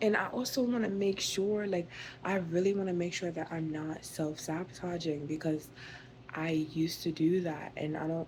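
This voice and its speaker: Somewhat breathy, a woman speaks at a fairly low pitch and moderate pace, her pitch moving in an ordinary way. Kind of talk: casual rant to camera, relaxing talking ASMR. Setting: at home, unstyled, close-up talk to camera. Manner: calming, relaxed, rambling.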